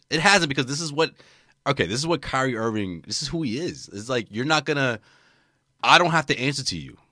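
With vocal fry and a bright, sharp tone, a man speaks very fast with lively intonation in a very clean recording with a silent background. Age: 30s. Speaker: sports beat writer. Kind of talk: casual chat. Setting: studio.

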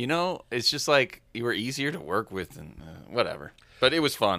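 The tone is bright and sharp, the pace fairly quick and the loudness swings widely, all in a very clean recording with a silent background. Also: man. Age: 40s. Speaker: podcast host, punk musician. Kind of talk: casual chat. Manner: laid-back, slangy.

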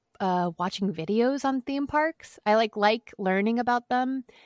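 A woman with an American accent and very wide pitch swings, at a fairly slow pace, in a dry, close sound with no echo on a very clean recording with a silent background. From Boston. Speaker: actor and comedian. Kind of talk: casual interview chat.

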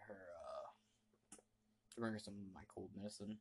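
This is a man speaking. His pitch is fairly low. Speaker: podcast host. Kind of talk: casual chat. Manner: pitch raised above natural voice.

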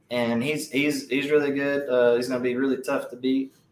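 With an Alabama accent, a man talks at a medium pitch in monotone, flat intonation. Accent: Southern US (Alabama). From US South. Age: 30s. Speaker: strongman athlete. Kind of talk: casual chat.

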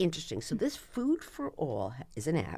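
A woman with an American accent and a dark, mellow tone talks at a moderate pace with lively intonation. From New Jersey. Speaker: nutrition professor and podcast host. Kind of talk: casual interview chat.

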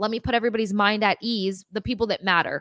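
A woman's bright, sharp, animated tone on a very clean recording with a silent background. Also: dry, close sound with no echo. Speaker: football podcast co-host. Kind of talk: casual two-host sports chat reacting to news. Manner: animated, talkative, conversational.

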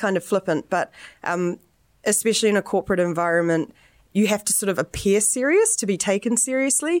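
A woman speaks with a New Zealand accent at a medium pitch and a fairly quick pace. The sound is dry and close, with no echo. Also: very clean recording, silent background. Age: 30s. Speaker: startup founder and product designer. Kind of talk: casual interview.

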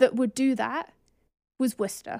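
With a southern English accent, a woman speaks at a high pitch, the sound dry and close with no echo on a very clean recording with a silent background. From southern England. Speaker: podcast host, property investment coach. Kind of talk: solo podcast monologue, personal story.

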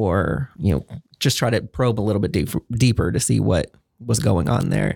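In an American accent, a man with a fairly low, fry-edged voice swings his pitch very widely at a moderate pace, his loudness very even, the recording very clean with a silent background and a dry, close sound with no echo. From Central Texas (Waco area). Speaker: director of imaging at emergency rooms. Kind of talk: interview.

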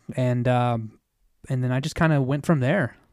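A man with an American accent and a plain, everyday voice talks with ordinary pitch variation in a very clean recording with a silent background and a dry, close sound with no echo. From Reno, Nevada. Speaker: tattoo artist. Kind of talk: casual chat.

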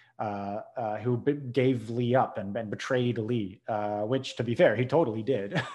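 A man speaks fairly slowly at a medium pitch with fairly even intonation. Noticeable background noise runs underneath. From New England. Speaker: filmmaker and YouTube creator. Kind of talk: casual interview chat.

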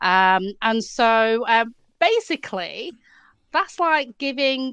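Dry and close with no echo over a quiet background, a woman's high voice swings very widely in pitch. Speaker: co-host and business founder. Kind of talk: casual chat. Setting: live audio event online. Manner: hesitant, chatty, laughs often.

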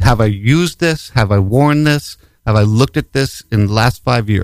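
A man with a medium pitch talks at a moderate pace with lively intonation in a normal speaking voice, the sound dry and close with no echo on a very clean recording with a silent background. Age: 50s. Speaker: radio co-host. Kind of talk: casual banter, adult comedy chat. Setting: radio studio. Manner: joking, playful.

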